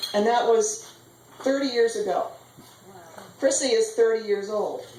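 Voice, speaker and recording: Over noticeable background noise and audible room echo, a woman speaks at a high pitch with ordinary pitch variation. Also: fairly slow pace. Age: 60s. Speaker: mother of the bride. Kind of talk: wedding speech.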